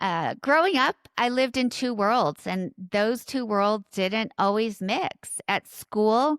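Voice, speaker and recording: A woman with a Southern California accent speaks at a very slow pace, her pitch fairly high and her intonation lively. The sound is dry and close with no echo, and she hardly pauses. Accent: valley girl. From Orange County, Southern California. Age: 50s. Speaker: podcast host and leadership coach. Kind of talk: personal monologue. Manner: conversational.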